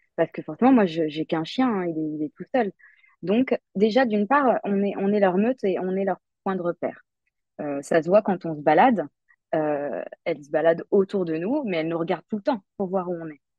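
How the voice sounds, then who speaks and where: This woman talks at a moderate pace with lively intonation. Her pitch sits in the middle range. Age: 30s. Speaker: digital secretary and dog enthusiast. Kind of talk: casual interview. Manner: halting, many filler hesitations.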